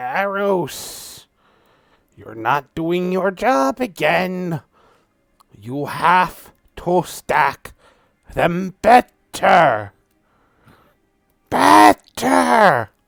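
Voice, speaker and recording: Putting on a squeaky character voice, a man speaks very slowly at a high pitch, with very wide pitch swings and long, frequent pauses, in a dry, close sound with no echo. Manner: scolding.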